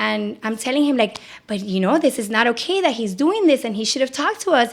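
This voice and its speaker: Over noticeable background noise, a woman talks very fast with an animated tone and lively intonation. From Puerto Rico. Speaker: psychotherapist. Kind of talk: podcast interview. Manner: loud.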